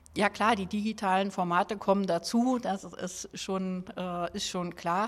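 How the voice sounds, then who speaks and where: Very slow female speech with ordinary pitch variation. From Berlin (Schöneberg). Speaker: district mayor. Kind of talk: interview.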